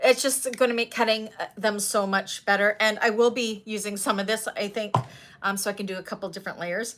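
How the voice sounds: At a fairly quick pace, a woman speaks at a medium pitch with a fairly bright tone and fairly even intonation.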